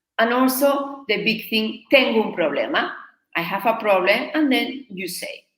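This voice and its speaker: A woman speaks at a fairly high pitch and a moderate pace with lively intonation. Her loudness swings widely. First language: Spanish. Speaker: Spanish teacher. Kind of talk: live online lesson.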